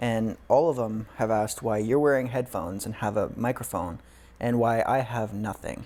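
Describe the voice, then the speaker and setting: A man mumbles quietly at a medium pitch and a moderate pace. His dark, mellow tone carries ordinary pitch variation. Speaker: podcast co-host. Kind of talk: casual chat. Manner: quiet talker.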